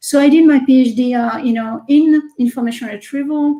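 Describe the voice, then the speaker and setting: Speaking in a French accent, a woman uses a high pitch, a dark, mellow tone and fairly even intonation at a moderate pace. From France. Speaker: research scientist and tech executive. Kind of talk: interview.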